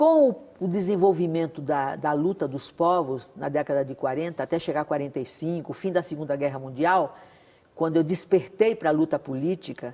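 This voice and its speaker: Her pitch very deep and low, a woman speaks with a dark, mellow tone. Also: ordinary pitch variation, moderate pace. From Brazil, Northeast (Alagoas/Pernambuco). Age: 80s+. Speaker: former political activist, widow of a revolutionary. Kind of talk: TV interview.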